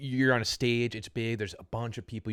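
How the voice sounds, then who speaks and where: The recording is very clean, its background silent. On it, a man talks very fast. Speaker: podcast host. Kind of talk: casual interview talk.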